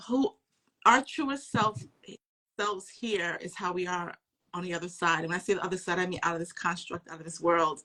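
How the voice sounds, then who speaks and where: Pausing long and often, a woman at medium pitch shows ordinary pitch variation and big swings in loudness. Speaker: spiritual teacher. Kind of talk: casual chat. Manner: loud at times.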